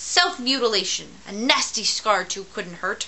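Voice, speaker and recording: A woman performs a put-on character voice at a fairly high pitch and a moderate pace. Clear background noise runs behind her. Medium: read story. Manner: grumpy, curt.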